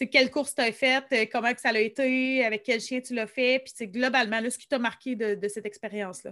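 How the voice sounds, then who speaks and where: On a very clean recording with a silent background, a woman speaks at a fairly quick pace in a high pitch with ordinary pitch variation. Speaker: podcast host. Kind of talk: casual interview.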